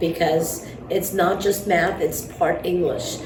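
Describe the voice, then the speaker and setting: A woman with an Armenian accent speaks at a fairly slow pace in a fairly low voice. There is audible room echo and noticeable background noise. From New York. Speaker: math teacher. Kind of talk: interview. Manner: hesitant, many fillers.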